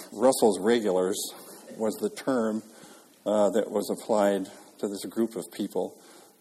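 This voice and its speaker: At a fairly slow pace, a man with a fairly low pitch and a dark, mellow tone speaks with fairly even intonation. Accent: American. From Minnesota, Minneapolis. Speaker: jazz pianist and lecturer. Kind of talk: lecture. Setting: stage with audience.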